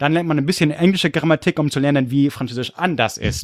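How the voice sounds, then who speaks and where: An animated man with an English accent talks at a fairly high pitch. The sound is dry and close with no echo, and the recording is very clean with a silent background. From California and Munich, Germany. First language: English (speaking German). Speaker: history podcaster. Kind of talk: casual chat.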